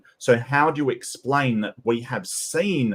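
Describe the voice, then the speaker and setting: A man is speaking. He has an Australian accent. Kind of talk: debate. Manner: halting, many fillers.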